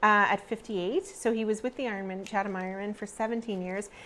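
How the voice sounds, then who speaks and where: With a Canadian accent, a woman with an unremarkable speaking voice talks at a fairly high pitch with ordinary pitch variation. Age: 50s. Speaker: TV co-host. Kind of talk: casual chat. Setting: studio.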